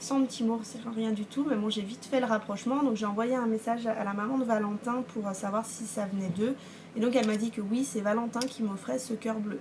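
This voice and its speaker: This woman's pitch is fairly high, and her intonation stays fairly even. Background noise is noticeable throughout. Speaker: knitting and sewing podcaster. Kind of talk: casual vlog talk. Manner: hesitant, many fillers.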